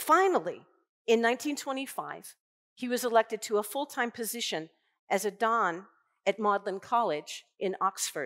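A woman talks at a fairly slow pace, her pitch swinging very widely. The background is quiet. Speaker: invited lecturer. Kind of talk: lecture. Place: hall. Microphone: headset.

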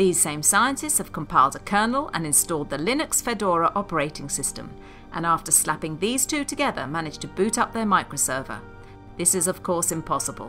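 Music plays in the background as a woman with a fairly low pitch talks at a fairly quick pace, her pitch swinging very widely. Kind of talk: comedic documentary narration.

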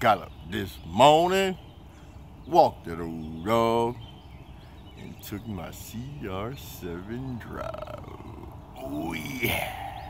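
Over noticeable background noise, a man talks at a very slow pace with long, frequent pauses and big swings in loudness. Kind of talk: casual vlog chat. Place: station. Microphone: phone near.

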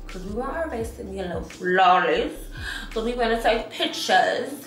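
Audible room echo surrounds a woman who speaks high for a woman at a moderate pace. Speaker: beauty vlogger. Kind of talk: casual makeup tutorial chat. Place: home room. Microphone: phone near.

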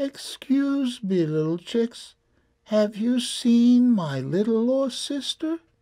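A very slow pace carries this put-on character voice. The pitch is fairly high. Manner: sad, feigned.

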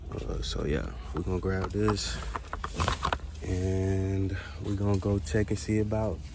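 Through loud background noise, a man speaks at a fairly slow pace with ordinary pitch variation, the sound dry with no echo. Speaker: vlogger shopping. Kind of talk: casual vlog chat. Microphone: phone near.

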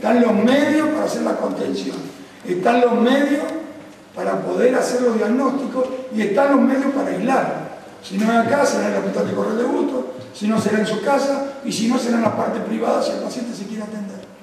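A man's extremely high-pitched voice with fairly even intonation, strong room echo and light background noise. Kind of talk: press conference statement. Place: meeting room.

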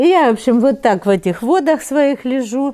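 With a warm, dark, mellow tone, a woman speaks at a moderate pace with very wide pitch swings over a quiet background. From Kharkiv, Ukraine; Ukraine. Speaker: Holocaust survivor. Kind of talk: oral history interview, life story. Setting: interview in Kharkiv. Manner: conversational, reminiscing, warm. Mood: warm, animated, sometimes laughing. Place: home room.

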